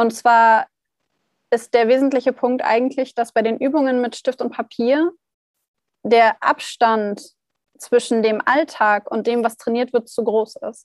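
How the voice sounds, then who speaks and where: A woman's voice with long, frequent pauses and fairly even intonation, dry and close with no echo. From northern Germany, Hannover. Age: 20s. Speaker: startup founder. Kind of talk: casual interview. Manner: hesitant with many fillers.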